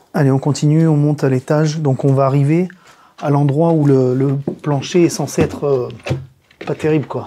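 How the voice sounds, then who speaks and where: Noticeable background noise sits behind a woman with a very deep, low voice who talks at a moderate pace with ordinary pitch variation. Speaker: urban explorer and video maker. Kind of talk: casual walkthrough narration. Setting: indoors in an abandoned house. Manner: hesitant, many fillers.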